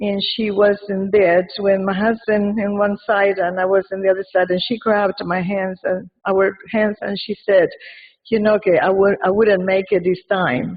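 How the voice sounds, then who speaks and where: With an Argentine accent, a woman speaks at a moderate pace and medium pitch. Her intonation is monotone and flat. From Argentina. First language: Spanish. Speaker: community member speaking at a wake. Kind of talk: eulogy read aloud. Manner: halting, many fillers and repeats.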